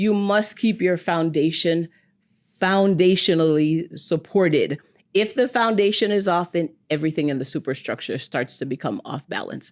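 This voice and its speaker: A woman's fairly low voice with a slight Jamaican accent, animated in tone and lively in intonation, at a moderate pace in a very clean recording with a silent background. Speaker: foot and ankle doctor. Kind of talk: TV interview.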